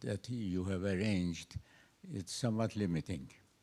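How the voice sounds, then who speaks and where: Speaking in a Persian accent, a man uses a fairly low pitch and a dark, mellow tone with fairly even intonation. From Iran. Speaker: astrophysicist, audience member. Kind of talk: audience question at a seminar. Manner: slow.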